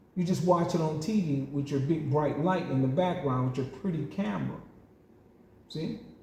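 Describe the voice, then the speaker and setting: A man with a Southern US accent and a fairly high pitch speaks in an animated tone with lively intonation. Room echo is audible. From US South. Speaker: boxing game YouTuber. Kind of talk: heated rant response video.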